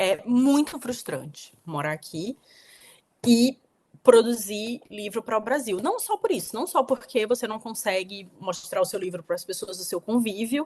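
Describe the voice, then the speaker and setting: This woman has an ordinary speaking voice with a fairly high pitch and lively intonation. She speaks at a moderate pace, with big swings in loudness. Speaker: author. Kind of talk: interview conversation.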